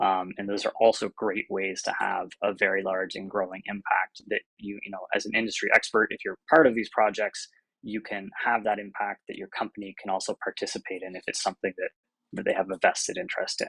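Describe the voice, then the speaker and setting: A man talks at a fairly quick pace with big swings in loudness, in a dry, close sound with no echo. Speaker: staff software engineer, panel speaker. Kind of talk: presentation. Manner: fast.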